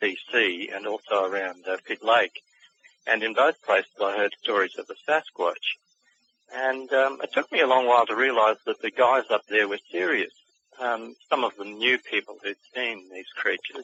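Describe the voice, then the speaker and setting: A man talks at a moderate pace in an Australian accent. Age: 60s. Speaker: author and cryptid researcher. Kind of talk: interview. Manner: halting.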